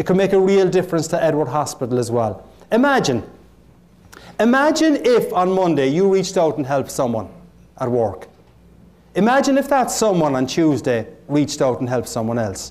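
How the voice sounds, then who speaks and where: In an Irish accent, a man speaks at a moderate pace. His pitch swings very widely. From Ireland. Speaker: motivational keynote speaker. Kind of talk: motivational keynote speech. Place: hall.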